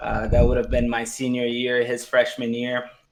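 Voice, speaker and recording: The speaker is a man. His speech carries a Portuguese accent. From Brazil, São Paulo. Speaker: podcast co-host, pro soccer player. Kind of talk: casual chat.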